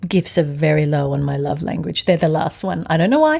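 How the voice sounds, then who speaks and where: A woman speaks in an Australian accent with a very deep, low pitch. Her tone is dark and mellow, and her intonation fairly even. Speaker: podcast host. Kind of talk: casual chat with husband.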